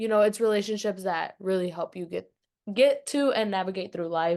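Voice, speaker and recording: A woman speaks with a fairly high pitch and ordinary pitch variation. The background is quiet. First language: not English. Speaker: student podcast host. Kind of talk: casual interview.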